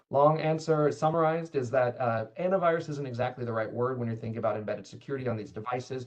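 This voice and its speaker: Hardly any pauses break up this man's speech at a very fast pace. His pitch is medium, with ordinary pitch variation. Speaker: cybersecurity manager. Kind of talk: webinar Q&A.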